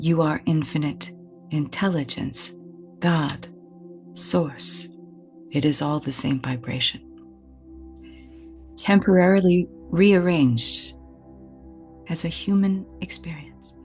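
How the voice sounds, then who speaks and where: Over music in the background, a woman with a very deep, low pitch talks at a very slow pace, pausing long and often while her pitch swings very widely. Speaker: energy healer, spiritual mentor. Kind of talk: guided meditation. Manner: soft-spoken.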